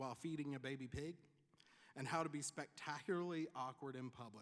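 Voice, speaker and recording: A man with a Tennessee accent talks at a fairly quick pace. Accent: Tennessee Southern. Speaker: commencement speaker, pharmacist and nonprofit leader. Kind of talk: commencement speech. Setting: graduation ceremony with audience.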